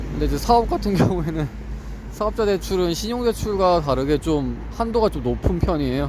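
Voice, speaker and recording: The speaker is a man with a slight Gyeongsang accent. Noticeable background noise can be heard. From South Korea, Ulsan (Gyeongsang). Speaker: vlogger studying for exams. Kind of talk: casual vlog monologue. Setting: walking home. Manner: conversational, with fillers.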